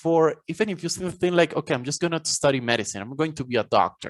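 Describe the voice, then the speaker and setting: A man's fairly high voice in a Spanish accent, with lively intonation, a quiet background and a dry, close sound free of echo. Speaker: college professor and author. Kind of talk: podcast interview.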